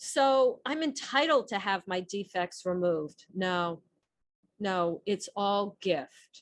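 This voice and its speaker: A woman with a New Jersey accent and very wide pitch swings over a quiet background. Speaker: recovery program speaker. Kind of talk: recovery talk on the twelve steps. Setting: podcast. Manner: conversational.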